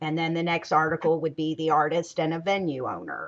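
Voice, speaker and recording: The background is quiet as a woman speaks in an American accent. Her pitch is very deep and low, and her intonation is monotone and flat. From US South, Greensboro, North Carolina. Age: 50s. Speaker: talk show host. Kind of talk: panel discussion.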